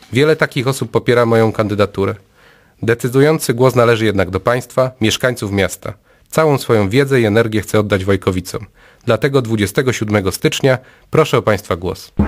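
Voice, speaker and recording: Over a quiet background, a man with a medium pitch talks at a fairly quick pace with ordinary pitch variation. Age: 30s. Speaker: local election candidate. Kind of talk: campaign speech. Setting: studio. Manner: formal. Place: studio.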